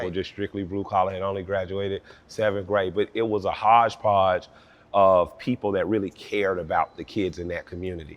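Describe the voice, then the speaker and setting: In an Atlanta accent, a man speaks fairly quickly in a fairly low, monotone, flat voice. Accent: Southern US, Atlanta. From Atlanta, Georgia. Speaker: rapper. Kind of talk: interview answer. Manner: casual, conversational.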